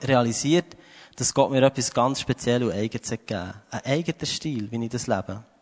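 Talking at a very fast pace, a man comes through with a dry, close sound and no echo. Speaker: preacher. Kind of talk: sermon. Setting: church stage with audience.

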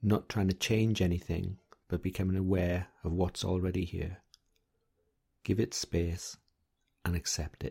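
A man's very deep, low voice, dark and mellow with a gentle, somewhat breathy tone, flat and monotone at a fairly slow pace with long, frequent pauses, on a very clean recording with a silent background. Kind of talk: guided meditation. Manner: gentle, soft-spoken and measured.

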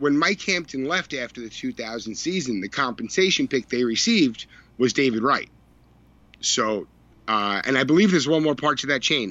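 With an American accent, a man uses a normal speaking voice at medium pitch, with lively intonation and a moderate pace. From Long Island, New York. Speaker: baseball blogger. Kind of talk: casual chat.

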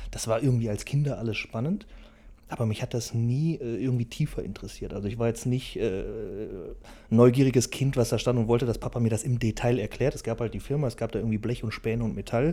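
The voice is somewhat breathy, with a dark, mellow tone. It moves at a very fast pace with fairly even intonation. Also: man, medium pitch for a man, very clean recording, silent background. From Germany, Velbert (Bergisches Land, NRW). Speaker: business owner. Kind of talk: interview. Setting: factory hall.

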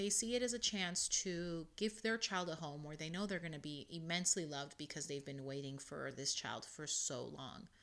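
A woman's plain, everyday voice, fairly low in pitch, with lively intonation, a moderate pace and hardly any pauses, on a very clean recording with a silent background. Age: 30s. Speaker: podcast host. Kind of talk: solo podcast talk with article reading.

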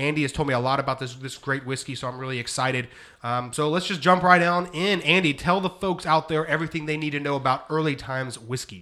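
In a bright, sharp tone, a man with a fairly high pitch and ordinary pitch variation talks at a very fast pace with hardly any pauses. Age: 30s. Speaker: podcast host. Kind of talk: casual chat. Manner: halting.

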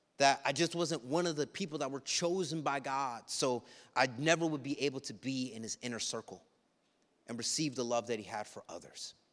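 On a very clean recording with a silent background, a man with a plain, everyday voice and a fairly high pitch talks at a fairly quick pace, with big swings in loudness. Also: ordinary pitch variation. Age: 30s. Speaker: pastor. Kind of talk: sermon. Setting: church.

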